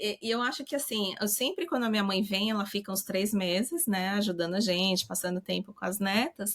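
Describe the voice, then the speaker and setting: The voice is somewhat breathy, with ordinary pitch variation and very even loudness. It moves at a fairly quick pace with hardly any pauses. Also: woman, medium pitch for a woman. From Brazil. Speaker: academic researcher, mother abroad. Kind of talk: interview conversation. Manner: hesitant, repeats words.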